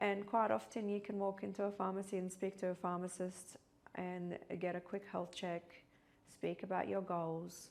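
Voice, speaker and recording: A woman's medium-pitched voice, fairly even in intonation, at a moderate pace. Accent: Middle Eastern. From Iraq. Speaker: pharmacist. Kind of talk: interview.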